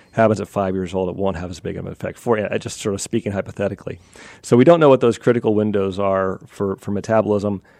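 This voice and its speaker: Speaking very fast with an American accent, a man uses a fairly low pitch with ordinary pitch variation and big swings in loudness. The sound is dry and close, with no echo. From US, western Pennsylvania. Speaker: evolutionary anthropologist, professor. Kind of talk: radio interview.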